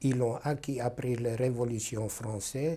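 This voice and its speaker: A man's somewhat breathy, dark, mellow voice, very slow, with fairly even intonation. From Carpathian Ruthenia (then Czechoslovakia, later Hungary). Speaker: Holocaust survivor. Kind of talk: testimony interview. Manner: hesitant, many fillers.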